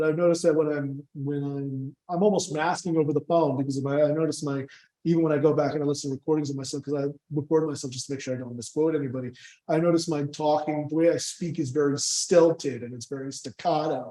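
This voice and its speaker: At a very fast pace, a man talks with a fairly high pitch, a dark, mellow tone, and fairly even intonation. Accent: Californian. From Southern California. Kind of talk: Q&A discussion at a seminar. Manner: halting, many repeats and fillers.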